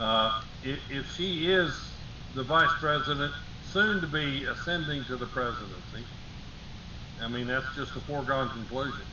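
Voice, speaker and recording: A man speaks at a fairly high pitch, leaving long, frequent pauses. Audible room echo and noticeable background noise surround his voice. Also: ordinary pitch variation, moderate pace. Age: 60s. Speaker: talk show co-host. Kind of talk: casual political chat.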